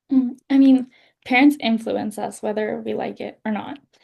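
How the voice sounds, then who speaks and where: Speaking in a Canadian accent, a woman has a dark, mellow tone and a somewhat breathy voice. She talks at a fairly slow pace with fairly even intonation. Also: big swings in loudness. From western Canada. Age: 20s. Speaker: author. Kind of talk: interview.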